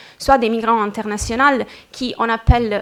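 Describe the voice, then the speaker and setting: A woman with a non-native accent speaks very slowly in a fairly high pitch with monotone, flat intonation. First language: not French (speaking French). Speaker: researcher presenting at a conference. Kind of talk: conference presentation. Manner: halting, many hesitations.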